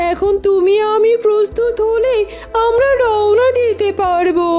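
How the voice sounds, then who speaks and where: A woman does a cartoonish character voice at an extremely high pitch, speaking at a fairly slow pace. Background noise is clear. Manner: brisk, practical.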